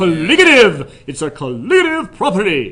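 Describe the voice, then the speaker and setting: Using a put-on character voice, a man speaks raised and projected at a high pitch. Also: moderate pace. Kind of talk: announcer. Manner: emphatic, salesy.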